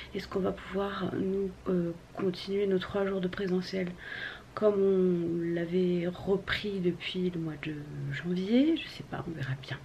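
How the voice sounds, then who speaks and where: Very slow speech from a woman, with noticeable background noise. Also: medium pitch for a woman, fairly even intonation. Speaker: vlogger. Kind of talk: casual vlog talk. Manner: hesitant with many fillers; soft-spoken.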